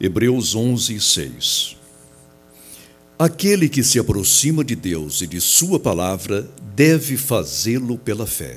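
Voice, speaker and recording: Very wide pitch swings and vocal fry at a very slow pace. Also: man, medium pitch for a man. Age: 60s. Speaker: pastor. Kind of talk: sermon. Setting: church auditorium. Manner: formal.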